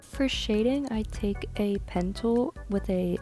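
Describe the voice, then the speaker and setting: Music plays behind a woman as she talks. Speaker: digital artist. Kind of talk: casual voice-over tutorial. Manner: hesitant, some stuttering.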